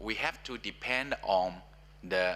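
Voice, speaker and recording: A man is talking. He has a Chinese accent. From China. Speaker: professor. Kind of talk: panel discussion. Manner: halting.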